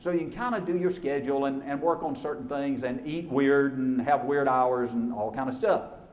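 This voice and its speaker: With an Alabama accent, a man talks at a fairly quick pace with lively intonation, amid noticeable background noise and audible room echo. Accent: Southern US (Alabama). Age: 60s. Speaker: motivational speaker. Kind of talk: keynote speech. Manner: animated.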